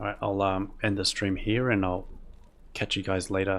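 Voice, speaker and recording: In a very clean recording with a silent background, a man with an Australian accent talks at a fairly low pitch and a fairly slow pace. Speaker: video game streamer. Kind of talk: casual gameplay commentary. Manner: mumbly, words rolled together; relaxed, calm pace.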